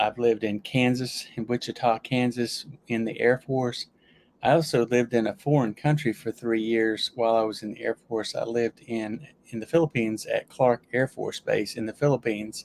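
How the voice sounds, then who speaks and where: This man talks with a Southern US accent, and the sound is dry and close with no echo. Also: medium pitch for a man, fairly even intonation, moderate pace. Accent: Southern US accent, returned after losing it. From US South, Alabama. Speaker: YouTuber and Air Force veteran. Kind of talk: casual livestream chat. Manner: hesitant, with frequent restarts and fillers.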